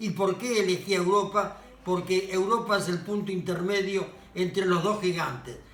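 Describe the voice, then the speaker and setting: With noticeable background noise behind him, a man talks at a moderate pace. His voice is high, with fairly even intonation. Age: 80s+. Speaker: author and social activist. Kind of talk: casual monologue. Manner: halting.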